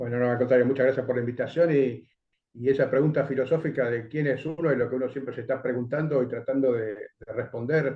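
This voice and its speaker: Somewhat breathy, a man speaks at a very fast pace with fairly even intonation. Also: medium pitch for a man. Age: 60s. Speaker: education coalition coordinator. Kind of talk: interview.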